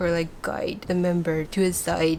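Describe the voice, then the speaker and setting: A woman with a Chinese accent speaks at a moderate pace in a fairly low voice. Noticeable background noise runs under her. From Taiwan (Taipei). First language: Mandarin Chinese. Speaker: fan vlogger and artist. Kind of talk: casual vlog talk.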